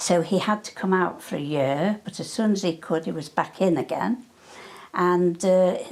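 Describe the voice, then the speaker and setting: Speaking in a northwest English accent, a woman has a fairly low pitch. Her pace is moderate and her pitch variation ordinary. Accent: north-west English. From Cheshire, north-west England (Hale, near Manchester). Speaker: wartime eyewitness. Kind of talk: oral history interview. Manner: halting.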